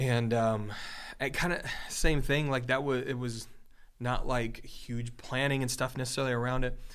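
With audible room echo, a man talks at a moderate pace and medium pitch in a monotone, flat intonation. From Michigan. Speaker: worship pastor, podcast co-host. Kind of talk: casual chat.

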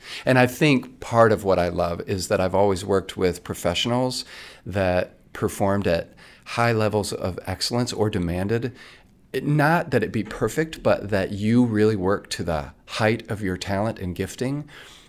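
Over a silent background in a very clean recording, a man with a fairly low pitch talks at a moderate pace with ordinary pitch variation in a normal speaking voice. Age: 50s. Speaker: stage actor. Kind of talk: casual chat.

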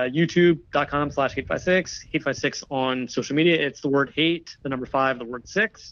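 A man with an American accent speaks in a plain, everyday voice at a moderate pace with ordinary pitch variation. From New Jersey, US. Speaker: digital archivist and video producer. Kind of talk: casual interview.

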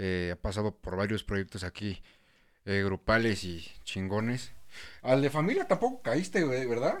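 A man speaks at a medium pitch with a Mexican accent and lively intonation, at a fairly slow pace. The recording is very clean, with a silent background. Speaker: podcast host. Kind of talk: casual chat.

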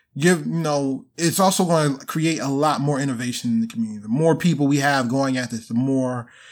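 A man with an American accent speaks at a fairly quick pace and medium pitch, with ordinary pitch variation, in an unremarkable speaking voice. The recording is very clean, with a silent background. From Baltimore, Maryland. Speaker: venture capital investor. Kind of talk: casual interview.

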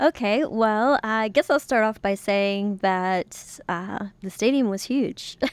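Recorded very cleanly against a silent background, with a dry, close sound and no echo, a woman speaks at a fairly high pitch with ordinary pitch variation. Her pace is very slow, yet she hardly pauses. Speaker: podcast co-host. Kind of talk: casual chat.

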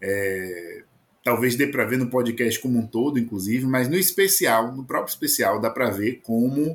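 A man with a Bahian accent, medium pitch and a moderate pace. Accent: Bahian Brazilian Portuguese. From Bahia, Brazil. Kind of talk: casual chat. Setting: home recording booth.

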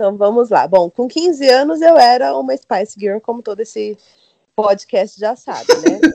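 A woman speaks with a dark, mellow tone. Her pitch swings very widely. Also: moderate pace. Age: 30s. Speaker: communications graduate, career changer. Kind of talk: casual chat.

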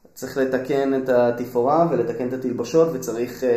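Against noticeable background noise and audible room echo, a man at a medium pitch speaks at a moderate pace with fairly even intonation. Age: 30s. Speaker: musician and musical creator. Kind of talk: interview.

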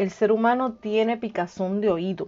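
A woman's ordinary speaking voice, fairly high in pitch, with fairly even intonation. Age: 50s. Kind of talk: devotional talk. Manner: informal, direct address to listener.

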